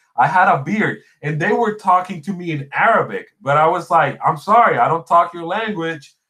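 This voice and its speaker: With a Spanish accent, a man talks at a moderate pace in a high voice with lively intonation. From Puerto Rico. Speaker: gaming podcast host. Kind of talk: casual chat. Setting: livestream.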